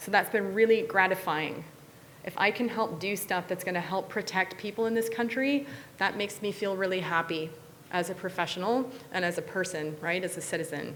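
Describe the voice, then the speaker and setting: Speaking fairly quickly in an American accent, a woman uses a medium pitch with ordinary pitch variation. Noticeable background noise can be heard. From US Midwest, near Chicago. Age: 40s. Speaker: technology researcher and speaker. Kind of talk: motivational talk to students. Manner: animated.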